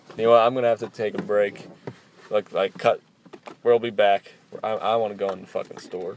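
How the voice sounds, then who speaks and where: With an American accent, a man talks at a fairly quick pace and medium pitch, with fairly even intonation and long, frequent pauses. The sound is dry and close with no echo, but background noise is noticeable. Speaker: podcast host. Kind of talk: casual chat.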